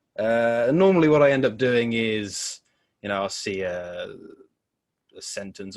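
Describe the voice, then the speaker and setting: A man speaks with a Devon accent and ordinary pitch variation. The recording is very clean, with a silent background. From Devon, England (Torbay). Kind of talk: podcast interview. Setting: in person. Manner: casual, hesitant with many fillers.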